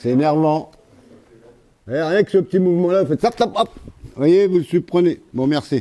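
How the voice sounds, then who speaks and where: The man talking has a high pitch. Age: 60s. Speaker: muay thai coach. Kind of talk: martial arts class instruction. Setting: boxing gym. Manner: casual, hesitant with many fillers.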